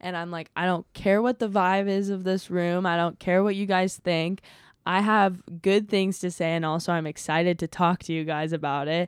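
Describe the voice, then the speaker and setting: The pace is moderate as a woman speaks. It is a normal speaking voice. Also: fairly low pitch for a woman, fairly even intonation. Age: 20s. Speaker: stand-up comedian. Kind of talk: casual chat.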